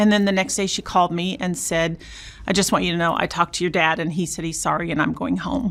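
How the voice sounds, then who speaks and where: A woman with an American accent, fairly low pitch with ordinary variation, very fast pace, vocal fry. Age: 60s. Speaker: abuse survivor sharing her story. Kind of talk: interview testimony.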